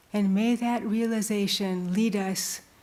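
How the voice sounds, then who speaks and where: A woman speaks very slowly in a somewhat breathy, medium-pitched voice with a dark, mellow tone. Her intonation is monotone and flat, and room echo is audible. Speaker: nun and retreat teacher. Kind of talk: spiritual retreat talk with invocation. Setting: temple retreat with audience. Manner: slow, prayerful.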